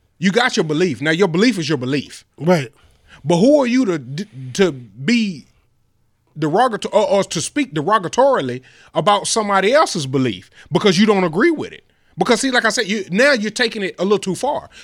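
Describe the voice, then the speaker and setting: On a very clean recording with a silent background, the speaker goes at a fairly quick pace in an animated tone with very wide pitch swings. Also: man, high pitch for a man. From Rockdale County, Georgia, near Atlanta. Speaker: podcast co-host. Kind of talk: casual chat. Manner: animated, frequent 'you understand what I'm saying'.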